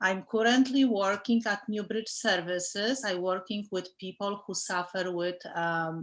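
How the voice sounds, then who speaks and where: In a very clean recording with a silent background, a woman with a strong Polish accent speaks at medium pitch and a fairly slow pace, with fairly even intonation and hardly any pauses. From Poland. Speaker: case manager, alumna panelist. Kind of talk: panel discussion.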